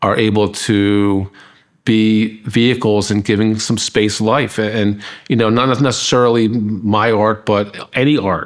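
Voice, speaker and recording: This man speaks with an American accent at a fairly low pitch. His intonation stays monotone and flat. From US Northeast, Philadelphia area. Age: 50s. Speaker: artist. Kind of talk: documentary interview. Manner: halting, many repetitions.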